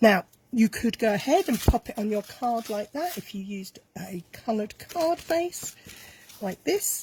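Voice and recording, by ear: A woman speaks with fairly high pitch and lively intonation. Her slightly mellow tone carries a husky, rough edge. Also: fairly slow pace.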